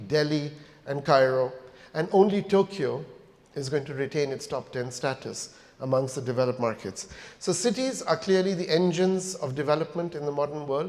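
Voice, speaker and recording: A man with a plain, everyday voice speaks at a fairly high pitch, keeping a moderate pace and ordinary pitch variation. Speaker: company founder and chief executive giving a keynote. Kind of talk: corporate conference keynote speech.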